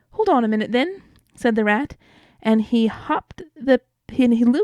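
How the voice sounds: In a natural reading voice with ordinary pitch variation, the speech comes over a quiet background.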